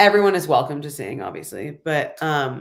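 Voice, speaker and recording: A woman with an American accent, very deep and low in pitch, with vocal fry. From Los Angeles. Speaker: singer-songwriter. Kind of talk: interview answer. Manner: casual, chatty.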